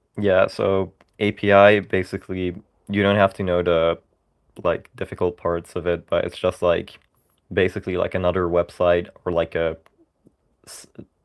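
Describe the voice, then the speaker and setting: A man with a very deep, low voice talks in a flat monotone, his loudness swinging widely and his speech broken by long, frequent pauses. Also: moderate pace. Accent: Dutch. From Netherlands. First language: Dutch. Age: 20s. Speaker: livestreamer, programming student. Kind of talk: casual livestream commentary. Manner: halting, many fillers.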